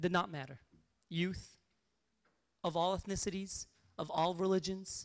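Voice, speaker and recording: A man with a high voice speaks in fairly even intonation, stopping often for long pauses. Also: moderate pace. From Syria (Qamishli). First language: Aramaic and Arabic. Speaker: activist speaker. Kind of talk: memorial speech. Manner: impassioned.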